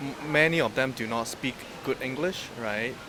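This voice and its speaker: Over noticeable background noise, a man with a Hong Kong accent speaks with lively intonation. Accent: Hong Kong Chinese. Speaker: client seeking a wife. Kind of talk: coaching session chat.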